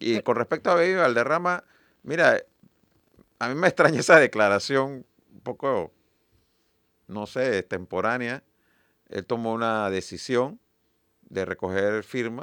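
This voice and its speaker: This man speaks fairly slowly at a medium pitch, with lively intonation. He leaves long, frequent pauses, and the recording is very clean with a silent background. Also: dry, close sound with no echo. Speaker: party leader and presidential hopeful. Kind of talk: radio interview.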